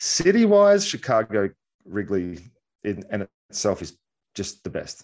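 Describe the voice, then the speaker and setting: In a quiet background, a man speaks with an Australian accent. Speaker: baseball analyst, former pitcher. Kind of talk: casual sports chat.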